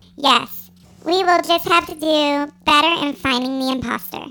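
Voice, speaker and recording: Delivered at a moderate pace, the put-on character voice stays high in pitch. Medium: audio drama. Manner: deadpan, flat.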